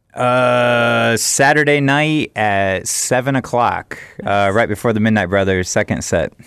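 A man with an unremarkable speaking voice talks at a fairly slow pace and medium pitch, with ordinary pitch variation and very even loudness. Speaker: festival organizer. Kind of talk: casual radio chat. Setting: radio studio.

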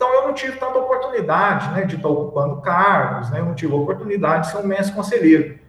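Over noticeable background noise and audible room echo, a man with a high pitch talks very fast with hardly any pauses and very wide pitch swings. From Brazil, Minas Gerais (Dores do Indaiá). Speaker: adult advisor of youth organization. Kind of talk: casual chat.

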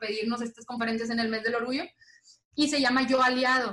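Her pitch is high and her pace fairly quick. The woman's intonation stays monotone and flat. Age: 20s. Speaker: lawyer and LGBT activist. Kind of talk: interview.

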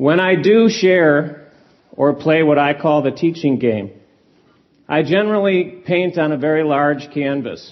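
A man's fairly high-pitched voice, an unremarkable speaking voice, with ordinary pitch variation, very even loudness and a fairly slow pace. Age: 50s. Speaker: self-help teacher. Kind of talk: live seminar talk. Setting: stage with audience.

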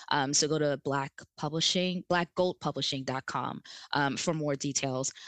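A woman with a very deep, low voice speaks at a moderate pace in an American accent, her intonation fairly even, the sound dry and close with no echo over a quiet background. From New Jersey. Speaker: clinical social worker, sexologist and author. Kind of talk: casual chat.

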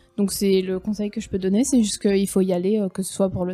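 A somewhat breathy voice talks at a moderate pace in a monotone, flat intonation. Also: woman. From France. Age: 20s. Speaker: former au pair, tourism worker. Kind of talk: casual interview.

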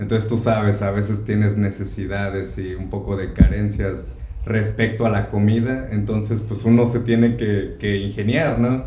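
At a moderate pace and fairly low pitch, a man speaks with ordinary pitch variation amid noticeable background noise and audible room echo. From Mexico, Córdoba, Veracruz. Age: 30s. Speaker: chef. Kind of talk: interview conversation.

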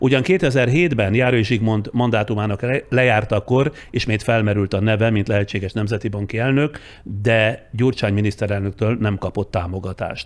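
A man with a fairly low voice talks at a moderate pace with ordinary pitch variation. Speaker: journalist, podcast host. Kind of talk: scripted narration; interview. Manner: formal.

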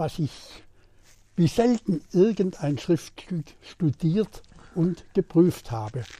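In a very clean recording with a silent background and a dry, close sound with no echo, a man speaks at a high pitch in a dark, mellow tone with ordinary pitch variation. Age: 90s. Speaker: retired politician. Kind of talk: interview.

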